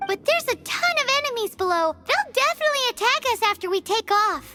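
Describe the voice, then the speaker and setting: A squeaky, put-on character voice at an extremely high pitch moves at a fairly quick pace over loud background music. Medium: video game.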